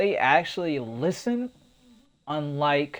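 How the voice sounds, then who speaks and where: A man's very slow speech with lively intonation. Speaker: gaming youtuber. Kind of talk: video game guide. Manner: halting, stuttering.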